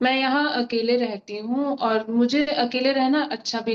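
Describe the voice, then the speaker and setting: A woman's high-pitched voice. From Mumbai, India. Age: 20s. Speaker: audience member asking a question. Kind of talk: asking a question.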